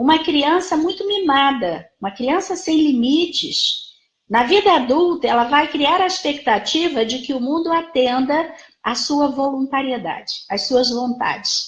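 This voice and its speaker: The speech moves at a fairly slow pace. There is audible room echo. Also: woman, high pitch for a woman. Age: 60s. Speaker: psychologist. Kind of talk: lecture. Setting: live stream.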